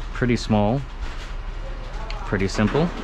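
Noticeable background noise sits behind the recording. A man speaks at a moderate pace. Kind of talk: tutorial. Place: kitchen. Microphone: phone near.

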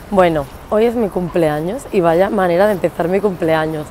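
A woman speaks at a fairly low pitch with ordinary pitch variation. The sound is dry with no echo, over light background noise. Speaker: vlogger. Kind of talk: casual vlog chat. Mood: cheerful, laughing. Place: street. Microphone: earbuds.

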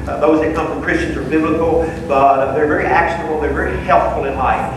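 A man is heard with strong room echo and noticeable background noise. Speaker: class teacher. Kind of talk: announcement to a class. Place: hall.

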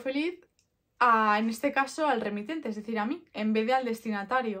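A woman speaks at a fairly high pitch with ordinary pitch variation. The background is quiet. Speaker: product vlogger. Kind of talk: casual vlog chat. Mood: relaxed, friendly, reflective. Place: home room.

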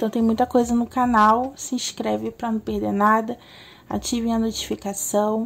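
A woman with a fairly high pitch speaks in a somewhat breathy, monotone voice with flat intonation. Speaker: tarot reader. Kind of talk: tarot reading video intro. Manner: slow.

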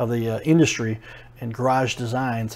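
A man speaks with fairly even intonation. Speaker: show host. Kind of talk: TV interview host intro. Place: shop. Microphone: lapel.

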